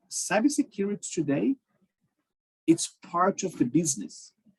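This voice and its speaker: With a Portuguese accent, a man speaks at a very slow pace in a high pitch with lively intonation, the sound dry and close with no echo. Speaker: cybersecurity professional. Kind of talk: talk to a group. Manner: halting, many fillers.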